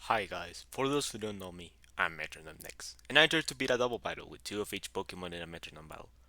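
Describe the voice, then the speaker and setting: A man with a strong Mexican accent talks at a very fast pace with hardly any pauses, his fairly low voice bright and sharp, his intonation lively and his loudness swinging widely, on a very clean recording with a silent background. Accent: heavy Mexican Spanish. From Mexico. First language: Spanish. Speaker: YouTuber, gaming content creator. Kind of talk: video intro.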